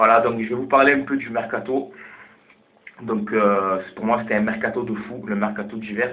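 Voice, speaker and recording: Speaking at a medium pitch, a man is heard with audible room echo. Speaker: football vlogger. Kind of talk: casual vlog commentary. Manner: halting.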